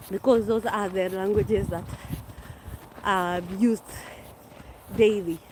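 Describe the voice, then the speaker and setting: A woman with a Kenyan accent at a medium pitch, fairly slow and fairly even in intonation, with long, frequent pauses. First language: Kikuyu. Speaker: vlogger. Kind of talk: casual live-stream chat. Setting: outdoors walking.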